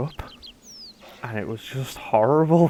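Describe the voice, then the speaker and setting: This man talks at a moderate pace with ordinary pitch variation. Noticeable background noise runs under his voice. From northern England (Carlisle, Cumbria). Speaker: game streamer. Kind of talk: casual live-stream chat. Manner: hesitant, many fillers and repetitions.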